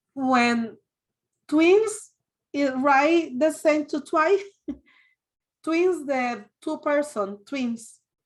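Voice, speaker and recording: Speaking very slowly in a Spanish accent, a woman with a high pitch uses lively intonation and takes long, frequent pauses. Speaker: adult English learner. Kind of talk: online language class. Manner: halting.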